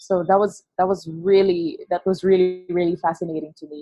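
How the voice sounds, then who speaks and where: With music in the background, a woman speaks at medium pitch and a fairly quick pace with a Filipino accent. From Philippines, Negros Occidental. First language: Hiligaynon. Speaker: creative agency founder. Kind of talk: podcast interview. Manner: halting.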